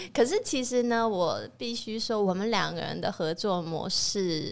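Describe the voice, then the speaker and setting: Recorded very cleanly against a silent background, a woman with an unremarkable speaking voice uses ordinary pitch variation. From Taiwan. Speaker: chef and restaurant owner. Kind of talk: casual interview chat.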